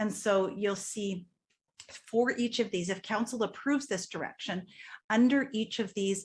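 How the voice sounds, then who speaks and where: A woman's somewhat breathy, fairly high voice at a moderate pace with ordinary pitch variation. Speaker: strategic planning consultant. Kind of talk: presentation to council. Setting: council meeting.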